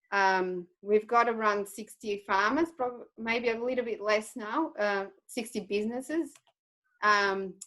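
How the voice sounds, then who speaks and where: A woman with a Portuguese accent speaks at a fairly slow pace in a fairly high pitch, her tone bright and sharp and her pitch variation ordinary. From Portugal. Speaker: cattle farmer. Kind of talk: webinar presentation. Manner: hesitant with many fillers.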